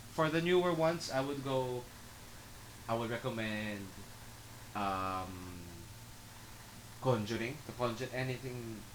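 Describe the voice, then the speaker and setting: Audible room echo surrounds a man with a medium-pitched voice. He talks with lively intonation at a fairly slow pace, leaving long, frequent pauses. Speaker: podcast co-host. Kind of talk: casual chat.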